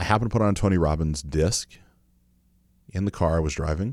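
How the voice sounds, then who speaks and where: With ordinary pitch variation, a man speaks at a fairly quick pace in a very clean recording with a silent background. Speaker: podcast host. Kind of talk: solo monologue podcast, casual and motivational. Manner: conversational, self-reflective, motivational.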